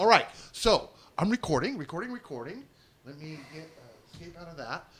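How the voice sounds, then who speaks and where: Lively intonation from a man, with noticeable background noise behind him. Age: 60s. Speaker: show producer and co-host. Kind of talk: casual chat, pre-show setup.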